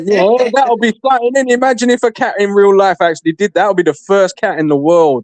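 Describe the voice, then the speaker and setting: In a British accent, a man talks at a very fast pace with a high pitch, an animated tone, lively intonation and very even loudness, the sound dry and close with no echo. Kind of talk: casual chat.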